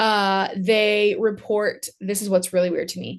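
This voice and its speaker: Against a quiet background, a woman with an American accent talks in a fairly high pitch. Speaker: podcast host. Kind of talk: casual chat. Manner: fast.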